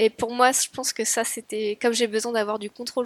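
With an ordinary speaking voice, a woman talks at a moderate pace with fairly high pitch and fairly even intonation, in a very clean, dry, close recording with no echo and a silent background. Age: 30s. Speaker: architecture firm assistant, weight-loss surgery patient. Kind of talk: interview testimony.

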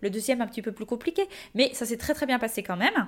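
A woman's high-pitched, animated voice with ordinary pitch variation. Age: 20s. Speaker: podcast host and social media creator. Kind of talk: casual monologue.

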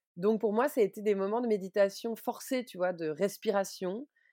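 Spoken at a moderate pace in a plain, everyday voice, this very clean recording has a silent background and ordinary pitch variation. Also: woman. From Switzerland. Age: 30s. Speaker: book publisher and mother. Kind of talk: personal testimony interview.

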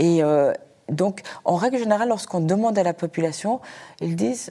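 Speaking at a moderate pace, a woman has a medium pitch and a dark, mellow tone. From Afghanistan, raised in Switzerland. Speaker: journalist and radio founder. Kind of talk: panel discussion.

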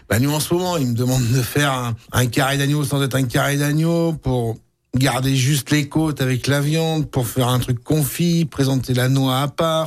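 Recorded very cleanly with a silent background, a man has an unremarkable speaking voice at a fairly high pitch, moderate pace, very even loudness and fairly even intonation. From Auvergne (Puy-de-Dôme). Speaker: butcher. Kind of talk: radio interview. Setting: studio.

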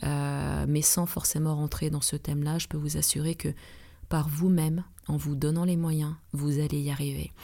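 A woman speaks in a very deep, low voice with a dark, mellow tone, flat monotone intonation and a fairly slow pace, on a very clean recording with a silent background. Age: 40s. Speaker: relaxation therapist and trainer. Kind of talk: advice podcast monologue.

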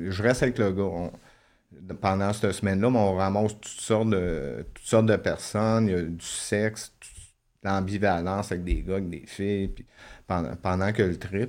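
A man with a plain, everyday voice speaks at a moderate pace and fairly low pitch, with ordinary pitch variation and big swings in loudness, on a very clean recording with a silent background. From Quebec. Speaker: former prisoner. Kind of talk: testimony.

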